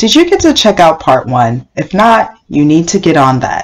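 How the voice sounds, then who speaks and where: A woman talks in a plain, everyday voice at a fairly low pitch. Her pace is moderate. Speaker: podcast host. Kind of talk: scripted narration.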